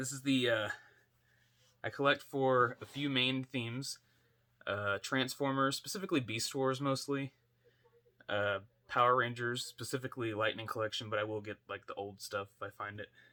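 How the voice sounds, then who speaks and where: Quiet and bright, with a sharp tone, a man speaks at medium pitch and a moderate pace, using ordinary pitch variation and long, frequent pauses. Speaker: toy collector YouTuber. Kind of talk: casual unboxing vlog. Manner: quiet, kept down for sleeping baby; hesitant, many fillers.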